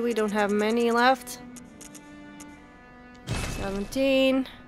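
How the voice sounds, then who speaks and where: This woman has a high-pitched voice. Music plays in the background. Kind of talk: gameplay commentary. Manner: casual, reactive.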